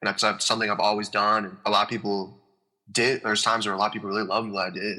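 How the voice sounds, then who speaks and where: Very fast and in a flat monotone, a man with an American accent talks in a bright, sharp tone. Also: fairly low pitch for a man. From Iowa, US Midwest. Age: 20s. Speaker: country-pop singer. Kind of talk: podcast interview. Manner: casual, filler-heavy.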